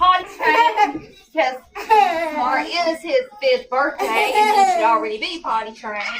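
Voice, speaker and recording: Her pitch extremely high and swinging very widely, a woman speaks at a fairly slow pace over noticeable background noise. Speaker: parent product reviewer. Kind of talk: casual product review. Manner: soft-spoken.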